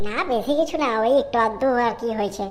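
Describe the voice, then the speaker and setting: A woman uses a cartoonish character voice at a fairly high pitch, talking at a fairly quick pace with ordinary pitch variation. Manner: hesitant, scrambling to agree.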